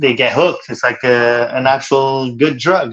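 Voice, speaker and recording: A man with a Quebec accent speaks with fairly even intonation. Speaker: cold exposure practitioner. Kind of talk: casual interview chat.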